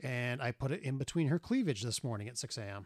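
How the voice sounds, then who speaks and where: A man speaks at a moderate pace in a normal speaking voice, his pitch medium. The recording is very clean with a silent background and a dry, close sound with no echo. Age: 40s. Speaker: podcast co-host. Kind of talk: casual chat.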